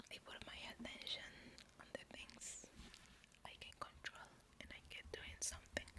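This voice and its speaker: The speaker is whispering at a moderate pace. There are long, frequent pauses. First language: Spanish. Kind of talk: ASMR whispered personal Q&A to camera. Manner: soft, whispered, hesitant with pauses.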